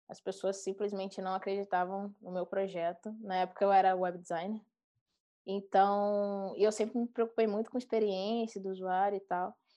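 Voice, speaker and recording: Her loudness swinging widely, a woman talks at a moderate pace and medium pitch with monotone, flat intonation. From Brazilian countryside. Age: 30s. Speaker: product designer. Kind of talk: casual chat.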